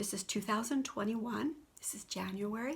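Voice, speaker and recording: A woman's somewhat breathy, fairly high-pitched voice at a moderate pace with ordinary pitch variation. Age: 70s. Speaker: spiritual video blogger. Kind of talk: personal testimony monologue. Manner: unscripted, halting.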